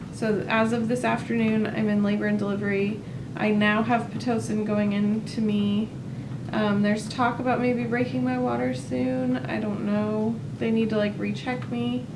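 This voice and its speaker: A woman speaks at a moderate pace as noticeable noise runs in the background. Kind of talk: casual vlog chat. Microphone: camera far.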